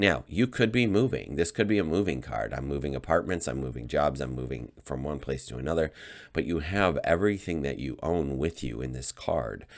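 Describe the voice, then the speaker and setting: Speaking at a fairly quick pace, a man with a very deep, low voice and vocal fry uses lively intonation in a very clean recording over a silent background. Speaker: tarot reader. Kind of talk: tarot reading monologue. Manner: halting, with many fillers.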